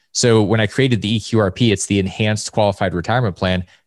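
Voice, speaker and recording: A man with a normal speaking voice talks at a fairly quick pace in a fairly low pitch, with fairly even intonation. The recording is very clean with a silent background, and the sound is dry and close with no echo. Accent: American. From Alaska. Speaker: personal finance author. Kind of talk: casual interview chat.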